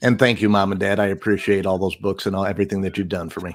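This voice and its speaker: Using a put-on character voice, a man rattles along at a very fast pace, raspy and fairly low-pitched, with monotone, flat intonation. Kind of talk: announcer style. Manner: smooth radio announcer.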